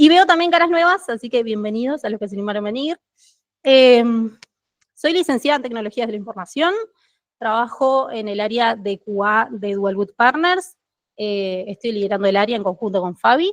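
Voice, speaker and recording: In a Uruguayan accent, a woman with a fairly high pitch speaks with lively intonation, the sound dry and close with no echo. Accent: Uruguayan Spanish (Rioplatense). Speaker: QA team lead, conference speaker. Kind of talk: tech meetup talk. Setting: stage with live audience. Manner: fast.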